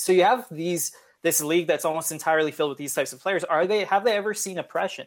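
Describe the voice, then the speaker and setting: In a very clean recording with a silent background, a man talks with a western Canadian accent. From Canada, Edmonton. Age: 20s. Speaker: sports journalist. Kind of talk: interview.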